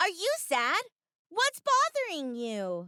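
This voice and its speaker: This put-on character voice is squeaky and extremely high-pitched, with a warm tone and a fairly slow pace. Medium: read story. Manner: warm, encouraging.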